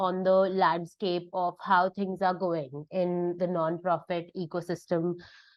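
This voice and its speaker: Speech in an Indian accent moves at a very slow pace with a monotone, flat intonation. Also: woman. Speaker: fellowship participant, nonprofit sector professional. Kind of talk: presentation.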